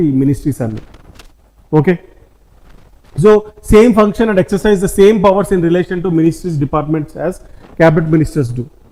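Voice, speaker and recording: This man's voice is high in pitch. It rises and falls in an ordinary way. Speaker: civil services exam coaching teacher. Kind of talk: lecture.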